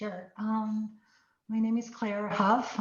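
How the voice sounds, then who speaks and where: A woman speaks at a very slow pace with a non-native accent. Her voice sits at medium pitch. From immigrant to the US at fourteen. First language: not English. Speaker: tech executive. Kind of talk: panel conversation.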